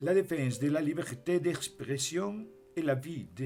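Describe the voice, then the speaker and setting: Over background music, a man with a Spanish accent speaks very slowly with lively intonation. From Spain. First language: Spanish (speaking French). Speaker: private citizen giving a statement. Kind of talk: reading aloud a prepared statement. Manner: formal.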